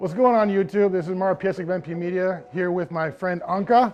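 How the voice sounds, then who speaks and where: High-pitched male voice in an animated tone, hardly any pauses, with noticeable background noise. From Poland. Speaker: photographer. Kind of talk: tutorial. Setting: rented studio.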